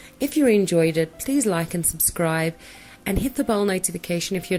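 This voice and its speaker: A woman speaks fairly quickly while music plays behind her. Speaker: gaming YouTuber. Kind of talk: casual gameplay narration.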